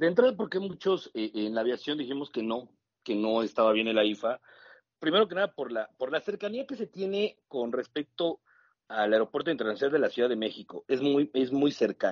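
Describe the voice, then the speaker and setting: This man talks at a fairly quick pace, his fairly high voice swinging very widely in pitch. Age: 40s. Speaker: airline pilot. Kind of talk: interview.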